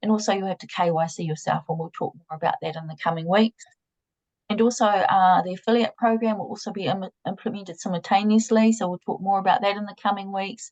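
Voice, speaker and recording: A woman of medium pitch talks very fast and somewhat breathily with fairly even intonation and big swings in loudness, in a dry, close sound with no echo. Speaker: company project presenter. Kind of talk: online progress update presentation. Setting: video call. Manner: halting with repetitions and fillers.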